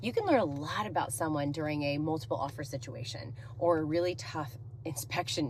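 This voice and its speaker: A woman's very deep, low voice with lively intonation and audible room echo. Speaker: real estate agent. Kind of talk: talking-head monologue. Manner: loud; energetic.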